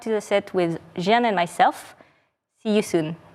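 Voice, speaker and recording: A woman's fairly high-pitched voice with a French accent, lively intonation and a moderate pace, on a very clean recording with a silent background. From France. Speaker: game studio presenter. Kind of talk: live stream presentation. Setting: studio set.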